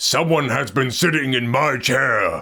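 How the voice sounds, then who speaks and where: A raspy, put-on character voice from a man, fairly high in pitch and at a fairly slow pace. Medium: read story.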